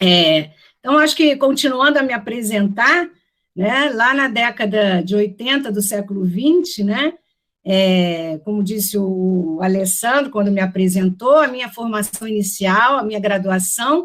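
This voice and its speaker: With lively intonation and a fairly high pitch, a woman talks at a fairly slow pace. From Rio de Janeiro, Brazil. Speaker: professor. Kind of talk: lecture. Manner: hesitant, many fillers.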